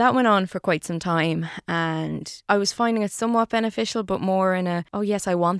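Speaking at a moderate pace with fairly even intonation, a woman with an Irish Midlands accent sounds dry and close with no echo in a very clean recording with a silent background. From Ireland, Longford. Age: 30s. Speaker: radio broadcaster. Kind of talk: interview about mental health.

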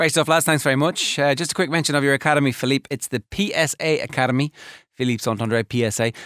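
A man with an Irish accent, fairly high pitch and ordinary pitch variation, at a fairly quick pace on a very clean recording with a silent background. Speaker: sports radio host. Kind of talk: casual chat. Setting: studio.

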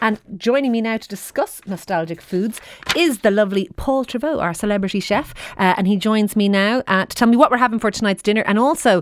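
The speaker has an Irish accent and ordinary pitch variation. The pace is fairly quick. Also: woman. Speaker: radio host. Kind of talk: radio phone-in chat.

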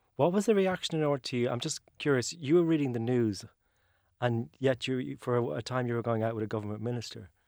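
Speaking at a very fast pace, a man uses lively intonation at a medium pitch. The recording is very clean, with a silent background. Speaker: radio host. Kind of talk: interview. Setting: studio.

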